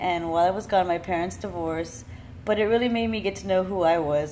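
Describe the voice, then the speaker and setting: A woman's medium-pitched voice with an American accent, ordinary pitch variation and audible room echo. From Miami, Florida. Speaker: vlogger. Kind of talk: personal monologue. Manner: casual.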